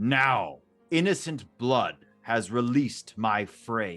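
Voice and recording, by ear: A man's medium-pitched, put-on character voice at a very slow pace, with faint music in the background.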